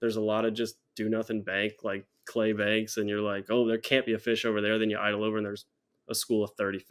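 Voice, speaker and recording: Talking at a very fast pace, a man keeps a fairly low pitch. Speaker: podcast guest. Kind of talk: interview answer. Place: home room.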